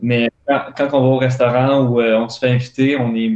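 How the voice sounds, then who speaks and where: A man talks in a monotone with flat intonation. The background is quiet, and room echo is audible. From Montreal. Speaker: elite runner; guest. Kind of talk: casual interview. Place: home room. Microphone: earbuds.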